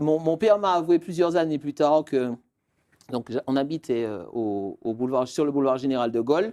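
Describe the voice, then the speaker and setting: Dark and mellow in tone, a man speaks with lively intonation. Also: dry, close sound with no echo. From Martinique (Fort-de-France). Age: 30s. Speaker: real estate expert. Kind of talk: interview. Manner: hesitant, many fillers.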